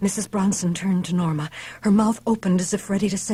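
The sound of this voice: Fairly even intonation shapes this unforced reading voice.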